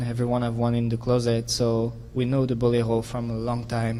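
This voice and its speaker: Audible room echo follows a man with a French accent as he speaks at a medium pitch and a fairly quick pace. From France. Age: 20s. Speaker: figure skater. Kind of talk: press conference answer. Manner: animated.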